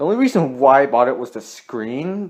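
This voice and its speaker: Here a man speaks at a fairly slow pace. His pitch is medium and his intonation lively. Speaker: gaming video creator. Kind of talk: casual vlog. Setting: at home, phone recording. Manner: halting, repetitive.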